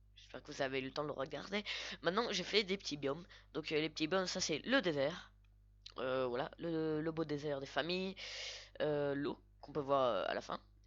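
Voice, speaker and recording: A woman's very deep, low-pitched voice at a moderate pace, broken by long, frequent pauses. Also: ordinary pitch variation, quiet background. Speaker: Minecraft YouTuber. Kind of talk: gameplay voice-over commentary. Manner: hesitant, many fillers.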